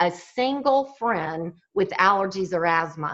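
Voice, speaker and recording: Very slowly, a woman with a Southern US accent speaks in a bright, sharp tone. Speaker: fitness and wellness speaker. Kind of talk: motivational talk.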